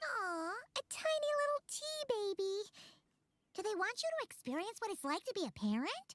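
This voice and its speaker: This put-on character voice is squeaky and extremely high, with very wide pitch swings and an energetic tone. It moves at a moderate pace, broken by long, frequent pauses. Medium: game stream. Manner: bright, energetic.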